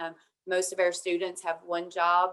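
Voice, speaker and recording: The speaker has an Appalachian accent. The pace is moderate. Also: woman. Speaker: university administrator, panelist. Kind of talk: webinar panel talk.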